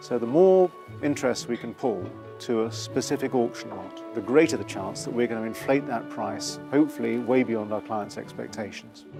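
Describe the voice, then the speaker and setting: Over music in the background, a man at medium pitch talks at a moderate pace, his loudness swinging widely and his pitch swinging very widely. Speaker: property auctioneer. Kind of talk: auctioneer explaining to camera.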